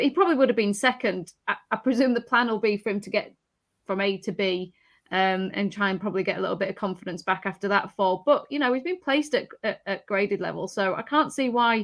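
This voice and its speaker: A woman talks at a very fast pace in a strong Yorkshire accent. Her pitch varies in an ordinary way. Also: medium pitch for a woman, very clean recording, silent background. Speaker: horse racing tipster. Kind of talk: casual panel discussion.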